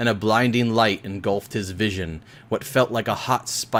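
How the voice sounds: Natural reading voice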